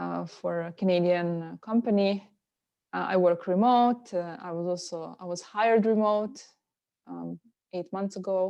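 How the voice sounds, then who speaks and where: Speaking with a Slovenian accent, a woman uses a dark, mellow tone and fairly even intonation. Her pace is fairly slow, and her loudness swings widely. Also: medium pitch for a woman. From Slovenia, near Italy. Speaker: yoga and meditation teacher. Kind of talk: interview conversation. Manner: hesitant with many fillers.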